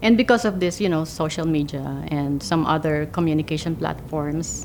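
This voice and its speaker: A woman's very deep, low voice at a moderate pace, with ordinary pitch variation and noticeable background noise. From Philippines. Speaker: immigrant interviewee. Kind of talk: interview testimony.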